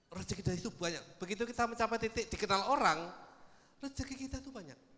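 A man speaks at a very fast pace in a raised, projected voice. His tone is animated and his intonation lively. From Indonesia, not Padang. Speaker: social media expert; speaker. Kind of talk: seminar talk. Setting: stage with audience. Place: hall. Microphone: handheld.

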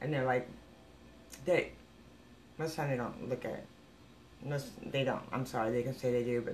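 A woman's voice with light background noise. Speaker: psychic medium vlogger. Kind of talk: casual vlog chat, opinion rant. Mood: exasperated, critical. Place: home room.

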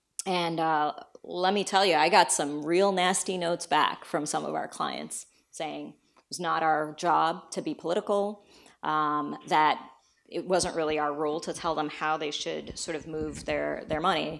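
A woman speaks at a fairly slow pace in a very deep, low voice with vocal fry and fairly even intonation. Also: big swings in loudness, quiet background. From India and the Philippines. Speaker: company CEO; guest lecturer. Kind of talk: lecture. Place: hall. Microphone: handheld.

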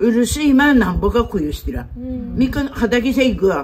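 A woman with a Tsugaru accent and a fairly high pitch, over noticeable background noise. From Japan. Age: old. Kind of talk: casual conversation; casual chat in dialect. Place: street. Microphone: phone near.

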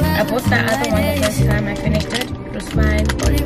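A woman speaks with a dry sound and no echo. Loud background noise is present. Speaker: vlogger. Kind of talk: casual vlog chat. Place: car. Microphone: phone near.

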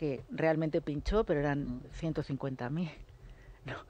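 A woman with a dark, mellow tone and ordinary pitch variation is heard in a dry sound with no echo. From Catalonia, Lleida; Catalonia. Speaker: political commentator. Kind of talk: radio panel debate. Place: studio. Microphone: studio mic.

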